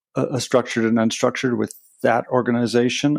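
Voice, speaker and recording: On a very clean recording with a silent background, a man talks with a Canadian accent. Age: 60s. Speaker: meditation trainer and Buddhist chaplain. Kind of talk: podcast interview. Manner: hesitant, many fillers.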